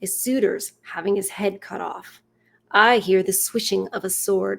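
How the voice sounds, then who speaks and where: This woman uses a put-on character voice that is raspy and medium in pitch. Her intonation stays fairly even at a moderate pace. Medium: read story.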